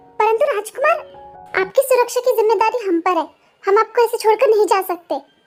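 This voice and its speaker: Over faint background music, a woman talks at a fairly quick pace in a put-on character voice. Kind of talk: formal courtly Hindi. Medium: read story. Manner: formal and respectful.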